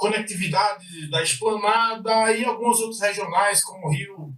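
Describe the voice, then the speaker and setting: This is a man speaking. His pace is moderate. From Recife, Brazilian Northeast. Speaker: IT service manager. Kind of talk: podcast interview.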